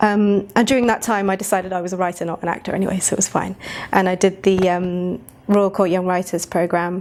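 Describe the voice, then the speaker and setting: Fairly quick woman's voice with a British accent, medium in pitch, with monotone, flat intonation. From England. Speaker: actor and writer. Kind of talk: interview.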